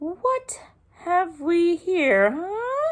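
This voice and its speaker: Squeaky and extremely high-pitched, a woman uses a put-on character voice. Her pitch swings very widely. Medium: read story. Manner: bustling, blustery, repeats words.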